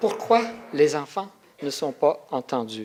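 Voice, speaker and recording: The speaker goes at a very slow pace with a non-native accent. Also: man. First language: not French; French is his third language (speaking French). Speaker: researcher and symposium speaker. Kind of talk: conference talk. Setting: symposium with audience. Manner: halting, with hesitations.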